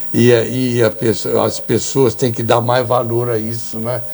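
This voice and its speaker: Over music in the background, a man of medium pitch talks at a fairly slow pace in a monotone, flat intonation. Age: 80s+. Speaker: TV and radio host. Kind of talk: casual interview chat.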